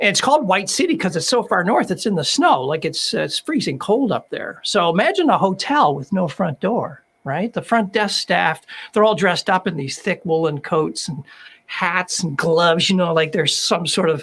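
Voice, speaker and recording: A man with a Canadian accent speaks at a high pitch. His pace is moderate. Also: lively intonation. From Canada. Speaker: author and former management consultant. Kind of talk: interview. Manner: halting, many fillers.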